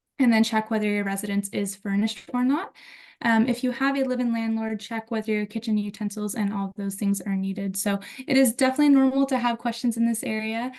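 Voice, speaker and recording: With an American accent, a woman speaks at a very fast pace, her fairly high voice somewhat breathy and her intonation fairly even. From United States. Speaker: university student affairs staff. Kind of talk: webinar presentation.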